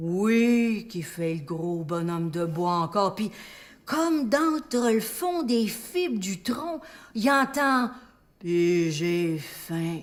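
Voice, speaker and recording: Speaking at a very slow pace, a woman sends her pitch through very wide swings. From Quebec. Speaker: storyteller. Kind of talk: live stage storytelling. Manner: humorous.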